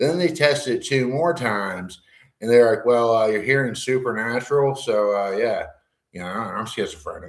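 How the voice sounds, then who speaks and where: A loud man speaks at a moderate pace and medium pitch, with ordinary pitch variation and audible room echo. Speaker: livestreamer discussing schizophrenia. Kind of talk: casual monologue. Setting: garage. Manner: animated.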